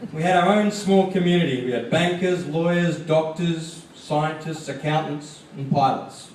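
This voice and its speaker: A man's fairly high pitch and fairly even intonation at a moderate pace, amid audible room echo and noticeable background noise. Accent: Australian. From Australia. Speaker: graduating student speaker. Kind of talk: commencement speech.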